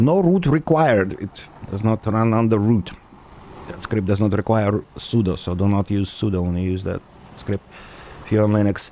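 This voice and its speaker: Long, frequent pauses break up speech at a moderate pace in a non-native accent with ordinary pitch variation. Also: man, fairly low pitch for a man. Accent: noticeable foreign. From Soviet Union, raised mostly in United States. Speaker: gaming streamer and software developer. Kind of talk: casual live-stream chat. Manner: casual with frequent fillers (uh, um).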